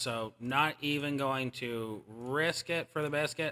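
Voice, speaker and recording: On a very clean recording with a silent background, a man of medium pitch speaks in a bright, sharp, animated tone with ordinary pitch variation. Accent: American. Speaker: gaming streamer. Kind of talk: live stream chat while gaming. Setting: live stream. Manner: casual, animated.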